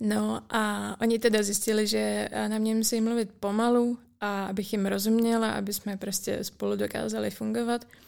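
At a moderate pace, a woman talks with hardly any pauses. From Czech Republic, rural village. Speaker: university student. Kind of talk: casual interview.

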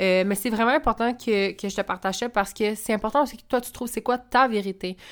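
On a very clean recording with a silent background, a woman with a fairly high pitch talks at a fairly quick pace. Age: 20s. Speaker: podcast host, spiritual coach and entrepreneur. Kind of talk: casual monologue.

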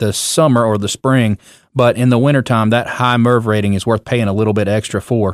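At a fairly quick pace, a man speaks in an ordinary speaking voice of medium pitch, with fairly even intonation and a dry, close sound with no echo. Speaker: roofing contractor and show host. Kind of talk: casual chat.

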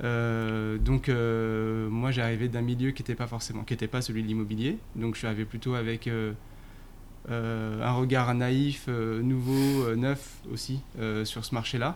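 A very slow, monotone delivery with flat intonation. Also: man, medium pitch for a man. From Paris suburbs, France. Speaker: marketing director. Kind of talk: interview. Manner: hesitant, many fillers.

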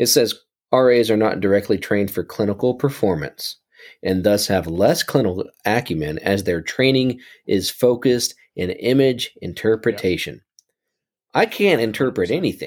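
A man with a plain, everyday voice and lively intonation. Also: medium pitch for a man, moderate pace. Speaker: radiologist assistant, podcast co-host. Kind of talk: casual chat.

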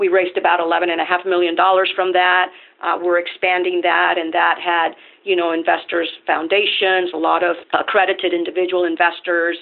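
The speaker has a Spanish accent and a moderate pace. Intonation is monotone and flat, and the loudness stays very even. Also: woman, fairly low pitch for a woman. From Venezuela. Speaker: nonprofit lender CEO. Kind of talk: interview.

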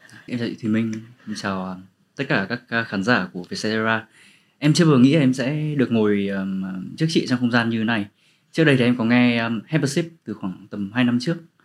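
Speaking at a fairly quick pace, a man uses an unremarkable speaking voice at medium pitch with ordinary pitch variation. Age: 20s. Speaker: author and storyteller. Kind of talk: casual interview chat.

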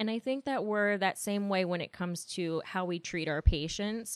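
Recorded very clean with a silent background, the sound is dry and close with no echo. A woman with an unremarkable speaking voice talks at a fairly quick pace and fairly even intonation. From West Virginia, Martinsburg (Eastern Panhandle). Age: 30s. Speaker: nurse manager. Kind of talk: interview conversation. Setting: hospital office.

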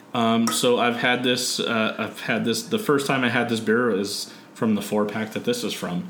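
With a Californian accent, a man speaks at a medium pitch and a moderate pace, his intonation fairly even, with audible room echo around him. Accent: Californian American. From San Diego, California. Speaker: podcast host. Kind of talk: casual chat.

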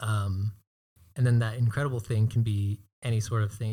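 In a very clean recording with a silent background, a man with a fairly low, dark, mellow, somewhat breathy voice speaks at a moderate pace in a monotone, flat intonation. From Hawaii. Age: 20s. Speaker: videographer and business owner. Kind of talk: casual interview.

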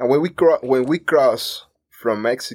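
A man speaks at a moderate pace with a Cuban accent. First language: Spanish. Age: 30s. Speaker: immigrant telling his story. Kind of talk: interview. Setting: studio.

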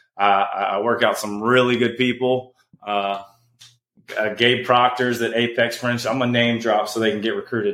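A man's medium-pitched, a normal speaking voice, with fairly even intonation at a moderate pace. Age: 30s. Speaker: former pro basketball player. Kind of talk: casual chat.

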